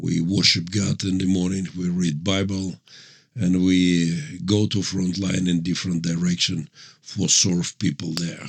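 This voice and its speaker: A man speaks with a very deep, low voice and fairly even intonation. His pace is fairly slow. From Ukraine, Mariupol. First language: Russian. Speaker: pastor and military chaplain. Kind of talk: interview testimony. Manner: halting non-native English.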